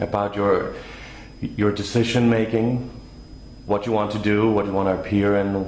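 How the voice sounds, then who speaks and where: A man speaks at a moderate pace in a fairly low voice, with fairly even intonation and very even loudness. Long, frequent pauses break up his speech, and background noise is noticeable. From Denmark. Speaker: interviewer. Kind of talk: interview questions.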